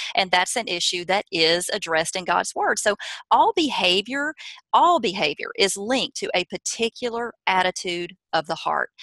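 With a Southern US accent, a woman speaks at a moderate pace in a medium pitch, her bright, sharp tone and lively intonation captured in a dry, close sound with no echo. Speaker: parenting author and speaker. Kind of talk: interview, advice talk.

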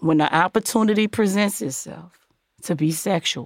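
A woman's animated, medium-pitched voice with very wide pitch swings, dry and close with no echo, on a very clean recording with a silent background. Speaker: podcast host. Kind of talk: casual chat with relationship advice. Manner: animated, sassy.

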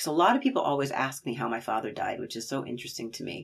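A woman talks in a very deep, low pitch. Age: 50s. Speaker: parent and writer. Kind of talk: interview.

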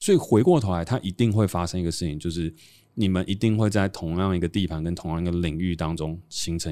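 On a very clean recording with a silent background, a man speaks at a fairly quick pace. His pitch is very deep and low, and his tone is dark and mellow. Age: 30s. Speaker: podcast host and entrepreneur. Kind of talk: casual chat.

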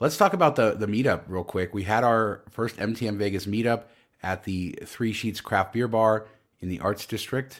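A man's ordinary speaking voice, fairly low in pitch and fairly quick in pace, with ordinary pitch variation. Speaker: podcast host. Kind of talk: casual chat.

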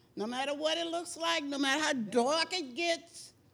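A woman with an American accent at a fairly slow pace, very wide pitch swings, and audible room echo. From Texas. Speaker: churchgoer. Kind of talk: testimony. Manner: animated.

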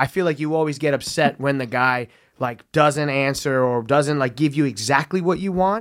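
At a moderate pace, a man speaks in a normal speaking voice, fairly high in pitch with ordinary variation, on a very clean recording with a silent background. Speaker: comedian co-host. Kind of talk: casual chat.

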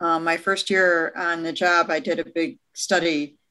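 This woman's tone is bright and sharp, her pitch fairly low. She has a Midwestern American accent and ordinary pitch variation. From US Midwest, Detroit, Michigan. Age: 50s. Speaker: economist. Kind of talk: casual chat.

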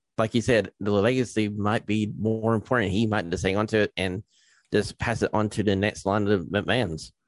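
A man with an American accent, fairly low pitch and a plain, everyday voice, at a moderate pace, in a dry, close sound with no echo and a quiet background. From East Tennessee, US. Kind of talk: casual interview.

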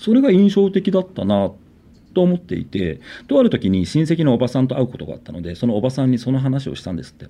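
At a very fast pace, a man with a medium-pitched voice talks with very wide pitch swings. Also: big swings in loudness. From Niijima, Tokyo islands, Japan. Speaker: artist, bassist and PE teacher. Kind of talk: ghost story telling.

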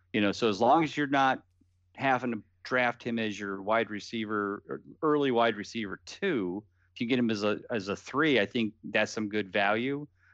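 Over a quiet background, a man speaks at a moderate pace and medium pitch, with ordinary pitch variation. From US Midwest (Canton, Ohio). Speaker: fantasy football writer. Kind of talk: casual chat.

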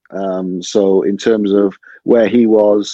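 With a Cardiff accent, a man speaks in a fairly low pitch and monotone, flat intonation. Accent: Cardiff Welsh. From Wales, Cardiff (Butetown). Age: 30s. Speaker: stand-up comedian. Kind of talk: casual chat.

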